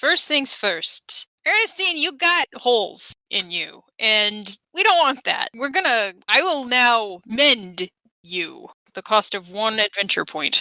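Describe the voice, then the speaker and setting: This is a put-on character voice with very wide pitch swings. The pace is fairly slow. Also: female-sounding voice, high pitch for a woman. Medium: actual play. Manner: enthusiastic, chatty.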